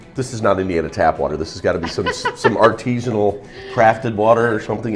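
Clear music plays in the background as a man talks at a very fast pace with ordinary pitch variation. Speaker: food show host. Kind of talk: casual food review chat. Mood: enthusiastic, jovial. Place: shop. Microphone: lapel.

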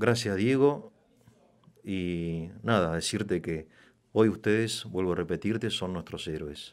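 Over a quiet background, a man with a very deep, low pitch speaks at a very slow pace with ordinary pitch variation. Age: middle-aged. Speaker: interviewer. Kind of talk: interview. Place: studio. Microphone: studio mic.

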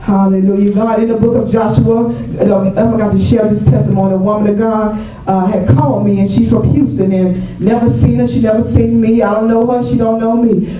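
Amid noticeable background noise and audible room echo, a woman talks at a fairly quick pace with hardly any pauses. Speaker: guest pastor. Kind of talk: sermon.

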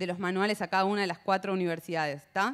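Against a quiet background, a woman speaks very fast with fairly even intonation. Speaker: panel moderator. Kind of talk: panel moderation, introductory remarks. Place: hall. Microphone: handheld.

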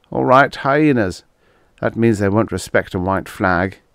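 A man with a fairly low pitch talks in a normal speaking voice at a moderate pace with ordinary pitch variation. The recording is very clean with a silent background. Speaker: audiobook narrator. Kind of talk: dramatic audiobook narration of a first-person story with character voices. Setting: solo home recording, no music.

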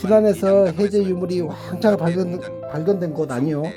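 With music in the background, a man speaks in a Jeolla accent at a high pitch with ordinary pitch variation. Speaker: village head. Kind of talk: tourist site audio guide.

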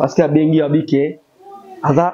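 At a moderate pace, the voice carries a slightly mellow tone. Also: man.

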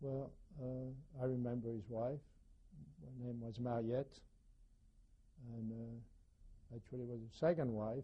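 Pausing often and at length, a man speaks at a fairly slow pace in a somewhat breathy voice with fairly even intonation. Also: medium pitch for a man. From France, Paris. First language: French. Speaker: Holocaust survivor. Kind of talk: testimony. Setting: recorded interview with microphone. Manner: halting.

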